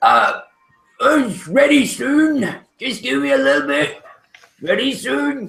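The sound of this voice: A man performs a put-on character voice, high-pitched and swinging very widely in pitch. He moves at a fairly slow pace with long, frequent pauses.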